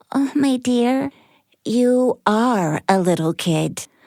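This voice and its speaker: A female-sounding put-on character voice pitched high. The recording is very clean, with a silent background. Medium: read story. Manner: rambling, giggly, scatterbrained.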